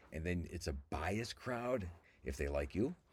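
A man with an American accent, very deep and low in pitch, with lively intonation, in a very clean recording with a silent background. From Cleveland, Ohio, US. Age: 60s. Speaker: comedian and podcast host. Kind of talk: casual solo monologue. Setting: lying on floor in a walk-in closet.

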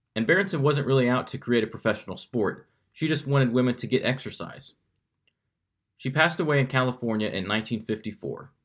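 In a plain, everyday voice, a man with an American accent talks fairly quickly at a medium pitch with ordinary pitch variation, on a very clean recording with a silent background. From Kansas City. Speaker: podcast host. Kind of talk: scripted narration; casual interview.

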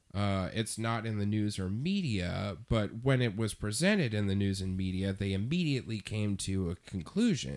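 Using a normal speaking voice, a man talks at a moderate pace with fairly low pitch on a very clean recording with a silent background. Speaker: podcast co-host. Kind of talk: casual chat.

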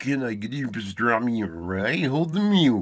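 A man puts on a character voice in a French accent, nasal, raspy and guttural at a medium pitch. He keeps a moderate pace.

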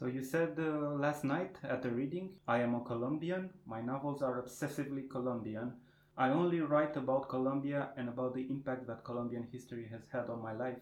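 A man with a Romanian accent, medium-pitched, fairly quick and fairly even in intonation. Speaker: podcast host. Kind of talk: interview. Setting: literary festival.

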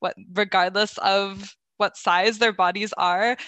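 A woman speaks in an unremarkable speaking voice at a medium pitch. Her pace is fairly slow, and the background is quiet. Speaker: youth mental health advocate. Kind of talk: roundtable discussion.

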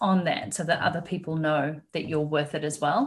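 A woman with a New Zealand accent speaks at a moderate pace. Her voice is somewhat breathy, with ordinary pitch variation. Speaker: business mentor. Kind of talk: interview.

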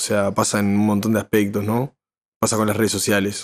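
A man with a fairly low pitch and a Uruguayan accent, in a very clean recording over a silent background. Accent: Rioplatense Spanish (Uruguayan). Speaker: musician and songwriter. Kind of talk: casual chat. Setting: live stream.

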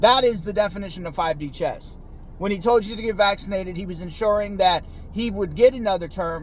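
Music plays in the background as someone speaks with an American accent. The pace is moderate, with ordinary pitch variation. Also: man. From United States, Mexican American. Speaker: podcast host. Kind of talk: solo political commentary monologue. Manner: casual, profane, repetitive filler; halting, frequent stammering repeats.

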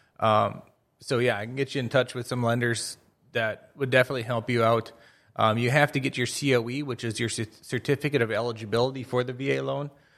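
With an American accent, a man talks at a very fast pace in a medium pitch with monotone, flat intonation. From northwest Minnesota, Crookston. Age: 30s. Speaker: real estate agent, retired military. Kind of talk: casual interview.

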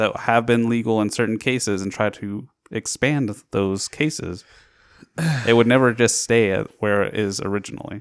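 Recorded very cleanly against a silent background, a man has an unremarkable speaking voice at medium pitch. He keeps a moderate pace and fairly even intonation. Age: 20s. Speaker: podcast host. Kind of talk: casual chat.

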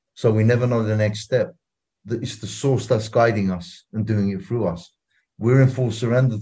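Over a quiet background, a man talks at a moderate pace in a medium-pitched, dark and mellow tone. His voice is somewhat breathy, with ordinary pitch variation. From London, England. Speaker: activist. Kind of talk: interview.

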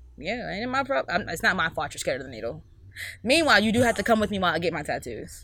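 The voice is bright and sharp, with vocal fry. It moves at a very fast pace through very wide pitch swings. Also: woman, medium pitch for a woman. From Mississippi. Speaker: small business owner. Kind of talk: casual chat.

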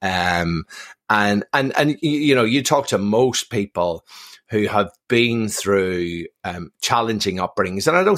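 A man with a Belfast accent speaks at a fairly slow pace and a fairly low pitch, with lively intonation. The sound is dry and close with no echo, on a very clean recording with a silent background. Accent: Belfast Northern Irish. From Northern Ireland, Belfast. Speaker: military veteran and performance institute director. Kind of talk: podcast interview. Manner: repeats words when starting sentences.

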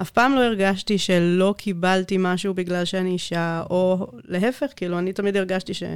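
In a very clean recording with a silent background, a woman of medium pitch talks at a moderate pace with ordinary pitch variation and an unremarkable speaking voice. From South Africa. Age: 30s. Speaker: IT manager. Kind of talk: interview. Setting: studio.

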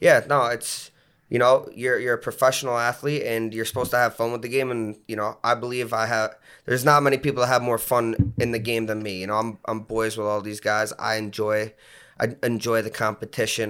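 In a very clean recording with a silent background, a man speaks at a fairly quick pace with a bright, sharp tone and monotone, flat intonation. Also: medium pitch for a man. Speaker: lacrosse player and captain. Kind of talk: casual chat.

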